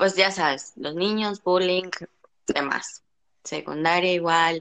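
A woman speaks with fairly even intonation. The sound is dry and close, with no echo. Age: 20s. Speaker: podcast guest. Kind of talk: personal testimony.

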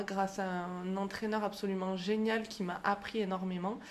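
Amid noticeable background noise, a woman of medium pitch speaks fairly slowly in a monotone with flat intonation. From France, Aubrac plateau (Aveyron/Lozère area). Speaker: fitness coach and podcast host. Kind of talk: interview. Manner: hesitant.

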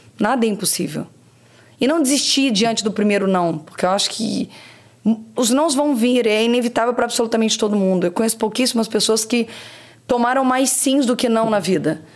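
A woman's fairly high voice at very even loudness, with noticeable background noise. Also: ordinary pitch variation, fairly quick pace. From Brazil, Rio de Janeiro state interior (Barra Mansa). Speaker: marketing executive. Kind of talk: interview. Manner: energetic.

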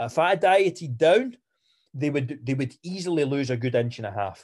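Against a quiet background, a man speaks with lively intonation. His pitch sits in the medium range. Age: 20s. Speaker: fitness coach. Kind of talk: podcast monologue and Q&A. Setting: live online call. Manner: halting, many fillers and restarts.

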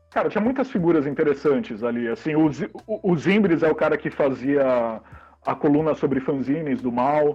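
With music in the background, a man speaks at a moderate pace in a fairly high pitch with lively intonation. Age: 40s. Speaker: zine publisher and comics shop co-owner. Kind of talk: casual interview.

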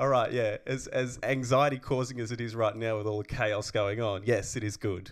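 A man with an Australian accent, medium pitch, fairly even intonation, moderate pace and hardly any pauses. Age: 30s. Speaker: podcast co-host and actor. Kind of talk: casual chat.

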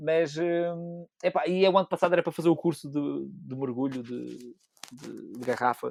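With a dry, close sound and no echo, a man speaks at a moderate pace in a fairly high voice, with ordinary pitch variation and big swings in loudness. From Azores, Pico island. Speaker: amateur photographer. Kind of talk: casual chat. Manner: halting.

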